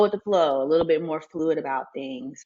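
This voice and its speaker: A woman's fairly low voice with a Southern US accent. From Mississippi, US. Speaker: family nurse practitioner, essay writer. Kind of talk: podcast interview answer.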